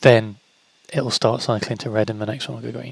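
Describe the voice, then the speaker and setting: A man speaks in a mumble. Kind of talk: casual gameplay tutorial voice-over. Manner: mumbly, hesitant.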